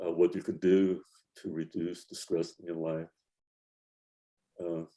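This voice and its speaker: An American-accented man speaks at a fairly slow pace in a very deep, low voice with a dark, mellow tone. His intonation is monotone and flat, while his loudness swings widely. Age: 70s. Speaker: wheelchair basketball coach and lawyer. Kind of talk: interview. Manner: halting, many fillers.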